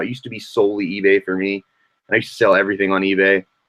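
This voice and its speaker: Rushing at a very fast pace, a man talks in a fairly low voice. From Virginia, Richmond. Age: 20s. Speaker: vintage clothing reseller. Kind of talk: casual interview. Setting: live stream.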